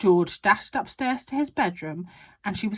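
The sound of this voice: The speaker uses an unforced reading voice. The intonation is lively.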